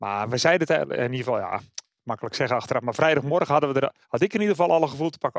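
Recorded dry and close with no echo, a man speaks at a very fast pace in a fairly high pitch, with ordinary pitch variation. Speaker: motorsport pundit. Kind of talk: casual chat.

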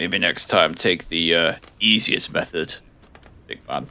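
A man speaks in a put-on character voice, very deep and low in pitch, at a fairly slow pace. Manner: sheepish, groggy.

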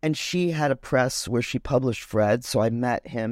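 Speaking fairly quickly with an American accent, a woman has a very deep, low pitch and ordinary pitch variation. The recording is very clean, the background silent. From US Midwest, Chicago. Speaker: painter. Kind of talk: interview conversation.

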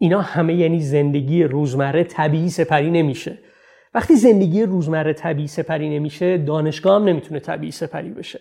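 Over a quiet background, a man with a dark, mellow tone and a fairly high pitch talks fairly quickly, with ordinary pitch variation. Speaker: researcher and speaker on cinema, city and narrative.

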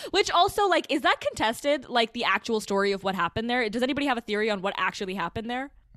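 A woman's fairly high, lively voice at a very fast pace with hardly any pauses, in a dry, close sound with no echo and noticeable background noise. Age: 20s. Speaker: podcast host. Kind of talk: casual chat.

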